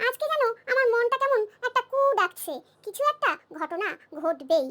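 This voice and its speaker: In a squeaky, cartoonish character voice, a woman speaks at a moderate pace with extremely high pitch and very wide pitch swings. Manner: earnest, emotional.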